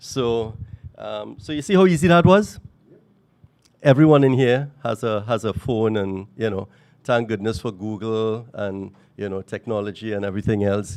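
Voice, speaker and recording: Here a man speaks at a moderate pace and a medium pitch. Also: ordinary pitch variation. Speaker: workshop speaker on entrepreneurship. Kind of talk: workshop talk. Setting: room with live audience, handheld mic. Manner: loud; hesitant, many fillers.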